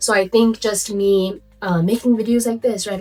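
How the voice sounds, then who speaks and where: A woman with a Nepali accent at a moderate pace, music in the background. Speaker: lifestyle vlogger. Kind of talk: casual vlog talk. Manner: conversational, many fillers.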